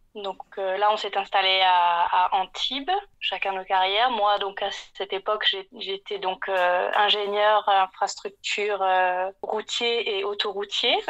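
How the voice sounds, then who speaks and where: Her delivery is very slow. The woman has a medium pitch and a monotone, flat intonation. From southeastern France (Var, near Marseille). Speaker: interior design consultant, former civil engineer. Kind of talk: podcast interview. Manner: hesitant, many fillers.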